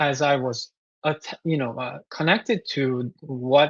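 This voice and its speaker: With a Korean accent, a man speaks over a quiet background, the sound dry and close with no echo. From South Korea. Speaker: composer. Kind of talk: interview. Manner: halting, many fillers.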